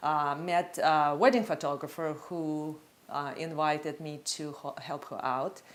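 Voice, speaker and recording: A woman speaks with very deep, low pitch and fairly even intonation. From Russia. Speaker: photographer. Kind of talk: interview testimony. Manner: halting.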